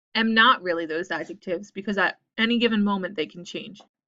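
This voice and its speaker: A soft-spoken woman talks at a moderate pace with a medium pitch and ordinary pitch variation. Her tone is bright and sharp, and the background is quiet. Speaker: university instructor. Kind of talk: recorded lecture video.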